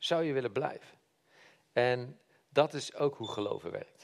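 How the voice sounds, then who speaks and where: A man talks at a medium pitch with ordinary pitch variation. His pace is very slow. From Netherlands, Brabant (Helmond). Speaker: lay preacher. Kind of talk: sermon. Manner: halting.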